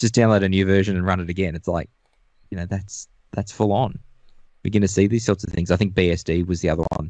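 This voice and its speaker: A very fast-talking man with an Australian accent, very deep and low in pitch, dark and mellow in tone, with fairly even intonation against a quiet background. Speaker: network engineer. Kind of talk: casual tech discussion.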